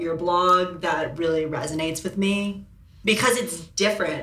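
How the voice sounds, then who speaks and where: Noticeable background noise sits behind a woman at a medium pitch. She speaks at a moderate pace with fairly even intonation. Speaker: model and blogger. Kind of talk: casual chat.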